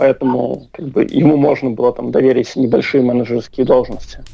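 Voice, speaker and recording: A man's voice at a moderate pace. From Belarus. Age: 20s. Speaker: activist, former soldier. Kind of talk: interview. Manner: hesitant, many fillers.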